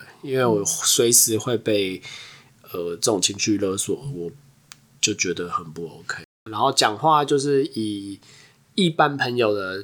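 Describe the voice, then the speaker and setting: Speaking fairly slowly with long, frequent pauses, a man uses a fairly low pitch and lively intonation. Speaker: podcast co-host. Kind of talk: casual chat.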